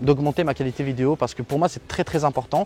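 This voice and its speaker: Music plays behind a male speaker whose fairly high pitch shows ordinary variation. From Algeria. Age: 20s. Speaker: tech YouTuber. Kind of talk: interview. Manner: hesitant, many fillers.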